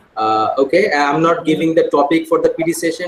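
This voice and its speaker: A man speaks over noticeable background noise. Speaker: school administrator leading teacher training. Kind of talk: online staff meeting. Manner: fast.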